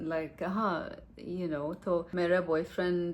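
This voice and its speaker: A woman's fairly low voice with an English accent. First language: English (speaking Hindi). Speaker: vlogger, Hindi learner. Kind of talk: casual chat vlog. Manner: halting, many fillers.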